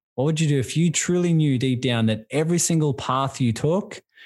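With an Australian accent, a man talks using ordinary pitch variation. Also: quiet background. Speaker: business and life coach. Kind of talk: casual interview. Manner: warm, enthusiastic.

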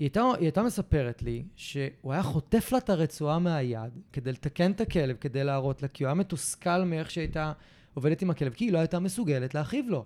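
With hardly any pauses, a man speaks at a fairly quick pace in a fairly high pitch with a dark, mellow tone and lively intonation, in a very clean, dry, close recording with a silent background and no echo. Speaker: podcast host, dog behavior therapist. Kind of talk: casual chat.

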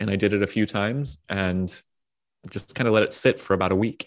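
With an American accent, a man talks in a fairly low pitch and a fairly even intonation. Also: quiet background. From US, Washington D.C. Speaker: pastor and author. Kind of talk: casual interview.

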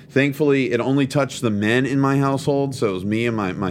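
His fairly quick speech shows ordinary pitch variation amid noticeable background noise. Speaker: pastor. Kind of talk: sermon-like teaching podcast. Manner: conversational, informal.

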